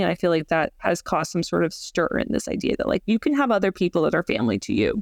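A woman with an American accent and vocal fry talks at a very fast pace, the sound dry and close with no echo over a quiet background. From US South, Georgia. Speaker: marriage and family therapist. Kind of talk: interview.

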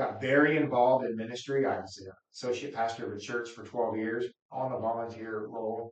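With an American accent, a man speaks in an ordinary speaking voice at a medium pitch and fairly even intonation. His pace is fairly quick, and his loudness swings widely. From Wichita, Kansas. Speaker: county commissioner. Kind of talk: interview.

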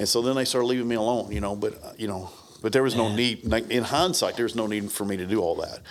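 With an American accent, a man of medium pitch talks at a very fast pace with ordinary pitch variation. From US South (Brownsville, Tennessee). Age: 50s. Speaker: martial arts instructor. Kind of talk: casual chat.

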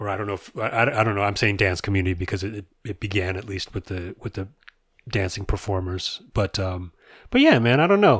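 A man's somewhat breathy, fairly low voice at a fairly quick pace, on a very clean recording with a silent background. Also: fairly even intonation. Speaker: podcast co-host. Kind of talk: casual chat.

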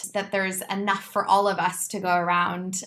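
The tone is bright and sharp, with a Californian accent. The pace is moderate. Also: woman. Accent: American (Californian). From California, US. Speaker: movement director and choreographer. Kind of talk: interview.

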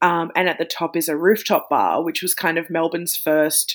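A woman speaks at a moderate pace with a fairly low pitch and monotone, flat intonation. The recording is very clean, with a silent background. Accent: Australian. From regional Victoria, Australia. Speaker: podcaster and author. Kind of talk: casual chat.

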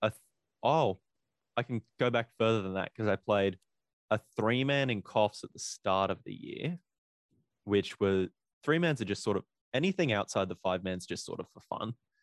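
A man with an Australian accent, fairly low-pitched and lively in intonation, at a moderate pace with long, frequent pauses, in a dry, close sound with no echo. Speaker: DJ and paintball player. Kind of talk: casual chat.

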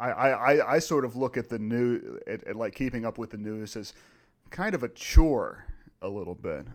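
A man speaks in a normal speaking voice with an American accent, at medium pitch and a moderate pace. His loudness swings widely. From Virginia. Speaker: philosopher podcast co-host. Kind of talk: casual chat.

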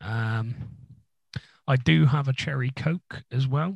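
This man speaks with an English accent. His pitch sits in the medium range. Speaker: music podcast co-host. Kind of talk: casual chat. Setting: home recording room.

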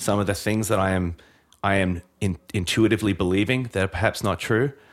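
Recorded very cleanly against a silent background, a man with an Australian accent speaks in a fairly low voice with fairly even intonation. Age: 40s. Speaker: pastor and author.

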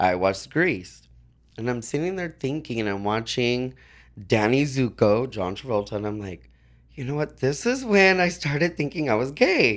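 A man's ordinary speaking voice, medium in pitch, with lively intonation at a moderate pace on a very clean recording with a silent background. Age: 40s. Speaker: leather titleholder. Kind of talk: casual chat.

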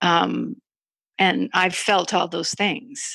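A woman with a fairly low, bright and sharp voice and vocal fry speaks fairly slowly with ordinary pitch variation. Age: 60s. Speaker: artist and creativity coach. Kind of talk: interview conversation. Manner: halting.

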